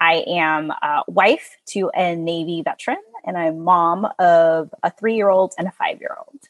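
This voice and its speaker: In an American accent, a woman with a normal speaking voice and fairly low pitch talks at a fairly slow pace with fairly even intonation and big swings in loudness, the sound dry and close with no echo. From US South, small-town Texas. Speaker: in-house employment lawyer. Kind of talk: interview.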